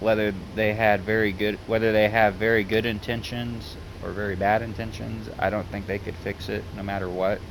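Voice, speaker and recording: This man talks with a Southern US accent at a fairly low pitch. He barely pauses and keeps a monotone, flat intonation. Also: moderate pace. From US South. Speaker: gaming YouTuber. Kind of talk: casual vlog monologue. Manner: halting.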